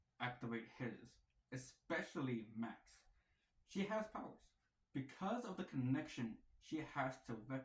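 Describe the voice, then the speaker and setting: Somewhat breathy, a man's medium-pitched voice carries lively intonation. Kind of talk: casual talk to camera. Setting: wearing a mask. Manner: playful, rambling.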